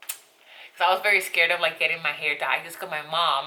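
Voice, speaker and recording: This voice comes with a Spanish accent. It moves along at a moderate pace. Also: woman. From Colombia, coastal region. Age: 20s. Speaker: beauty vlogger. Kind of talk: casual vlog talk. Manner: talkative, rambling.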